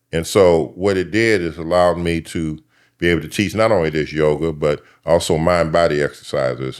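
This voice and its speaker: In a very clean recording with a silent background, a man with a very deep, low pitch speaks at a fairly quick pace with fairly even intonation. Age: 70s. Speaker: yoga and mind-body teacher, former social worker. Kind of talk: podcast interview. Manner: halting, many fillers.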